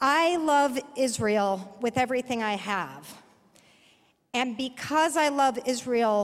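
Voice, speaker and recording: A woman talks at a very slow pace. Her voice sits high in pitch. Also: ordinary pitch variation. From Texas, Dallas. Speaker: progressive activist. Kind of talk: personal testimony speech. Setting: conference stage with audience.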